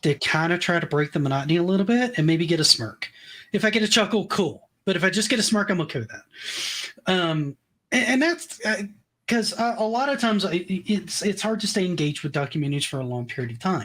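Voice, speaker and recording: A man speaks with a high pitch and an American accent. His pitch swings very widely. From US South, Tennessee. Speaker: documentary YouTuber. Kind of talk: casual chat.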